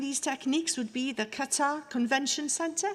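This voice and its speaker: A woman's high-pitched voice in a Welsh accent, at a moderate pace with ordinary pitch variation. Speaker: university orator presenting honorary fellow. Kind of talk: ceremonial citation speech. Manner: formal.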